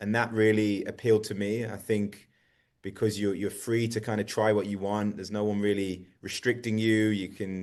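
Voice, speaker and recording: With an English accent, the speaker keeps a monotone, flat intonation at a moderate pace against a quiet background. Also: man. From England, Birmingham. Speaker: soccer coach. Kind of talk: radio interview.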